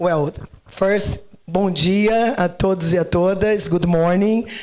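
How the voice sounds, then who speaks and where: Noticeable background noise surrounds this speaker. She is a woman with a Brazilian Portuguese accent and a fairly low pitch. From Brazil, Rio de Janeiro. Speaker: agricultural researcher. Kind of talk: panel discussion.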